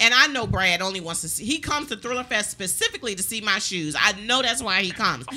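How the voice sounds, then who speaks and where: With an American accent and a fairly high pitch, a woman talks very fast with lively intonation and hardly any pauses. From Maryland. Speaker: talk show host. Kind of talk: casual interview. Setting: studio. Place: studio. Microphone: studio mic.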